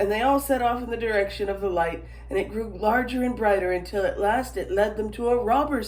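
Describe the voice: The voice gives a plain reading aloud with ordinary pitch variation.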